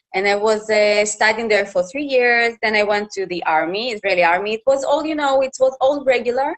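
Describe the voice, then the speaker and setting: Her pitch fairly high, a woman with a Russian accent speaks at a moderate pace. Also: dry, close sound with no echo. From Russia, Khabarovsk. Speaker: journalist and TV reporter. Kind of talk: interview. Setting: live Facebook interview. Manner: halting.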